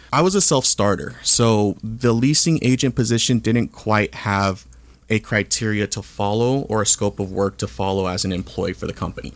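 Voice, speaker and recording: A man talks in a plain, everyday voice. His pitch sits fairly low. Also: ordinary pitch variation, moderate pace. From Southern California, Orange County. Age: 30s. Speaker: real estate entrepreneur. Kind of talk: interview. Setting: studio.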